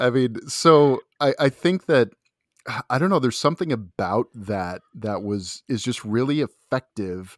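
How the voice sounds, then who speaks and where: An unremarkable speaking voice moves at a fairly slow pace with lively intonation. The sound is dry and close with no echo, in a very clean recording over a silent background. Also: man, medium pitch for a man. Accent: American. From US Pacific Northwest, Seattle area. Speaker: film critic and podcaster. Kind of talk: casual chat.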